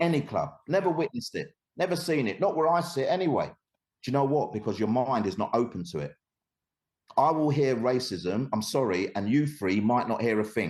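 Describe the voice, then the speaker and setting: A man with a London accent, medium-pitched, animated in tone, with lively intonation and a moderate pace. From East London, England. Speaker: anti-discrimination educator. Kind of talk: podcast interview.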